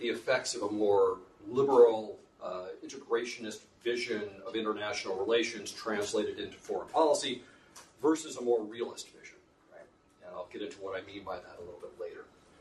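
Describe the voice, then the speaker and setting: A man with an American accent, fairly quick, with big swings in loudness, audible room echo and noticeable background noise. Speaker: professor. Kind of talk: lecture.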